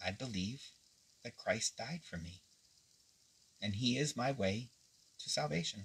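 A somewhat breathy man with an American accent, lively intonation, fairly slow pace and long, frequent pauses. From Pennsylvania, US. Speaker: pastor. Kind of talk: devotional livestream. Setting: live video stream. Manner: casual, folksy. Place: home room. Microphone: phone near.

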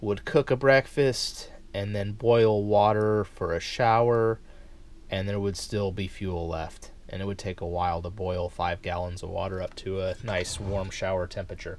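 A man's fairly low, a plain, everyday voice at a moderate pace, with fairly even intonation and light background noise. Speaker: camping gear reviewer. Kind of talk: casual product demonstration. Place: home room. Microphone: camera far.

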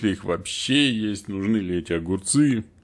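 A normal speaking voice from a man, fairly low in pitch, at a moderate pace with ordinary pitch variation, on a very clean recording with a silent background. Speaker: IT and organizational development consultant, channel host. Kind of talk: solo educational talk to camera. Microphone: new studio recording system.

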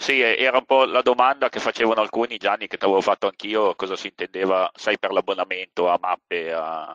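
With hardly any pauses, a man speaks at a fairly quick pace in a bright, sharp tone with ordinary pitch variation, the sound dry and close with no echo. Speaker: surveyor, seminar co-host. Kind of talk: online seminar discussion. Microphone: connection dropped, not heard at first.

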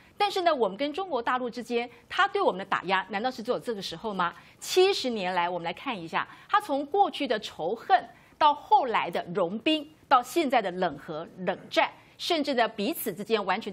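Her pitch swings very widely as she talks at a fairly quick pace. The woman's voice sits fairly high. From Taiwan. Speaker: legislator; talk show panelist. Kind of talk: TV political talk show panel. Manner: emphatic. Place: studio. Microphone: lapel.

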